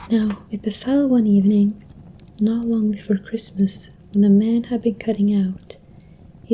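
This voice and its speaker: Words come at a fairly slow pace. This voice is soft-spoken. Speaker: ASMR content creator. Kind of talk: ASMR soft-spoken story reading. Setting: close-mic home recording with a desktop microphone. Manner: soft-spoken, quiet.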